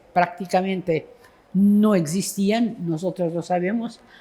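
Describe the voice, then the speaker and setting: A woman's somewhat breathy, dark, mellow tone with a Portuguese accent, at a very slow pace with fairly even intonation. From Portugal. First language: Portuguese (speaking Spanish). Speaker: poet. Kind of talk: literary conversation on stage. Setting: book fair event with audience. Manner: halting.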